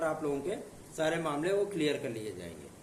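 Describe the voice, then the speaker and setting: A man speaks at a fairly slow pace with ordinary pitch variation. Noticeable background noise and audible room echo are present. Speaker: exam news presenter. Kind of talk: informational video talk.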